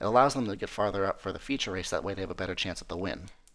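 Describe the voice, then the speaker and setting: With an American accent, a man speaks on a very clean recording against a silent background. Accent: American (to European listeners). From US Midwest, North Dakota. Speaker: esports race commentator. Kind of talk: live commentary. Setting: live stream. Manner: casual, halting with fillers.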